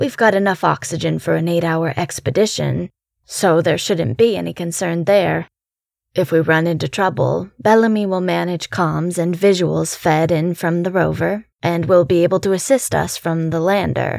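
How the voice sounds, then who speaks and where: A woman does a put-on character voice, raspy and fairly low in pitch. She talks at a moderate pace with ordinary pitch variation. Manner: brisk, authoritative, businesslike.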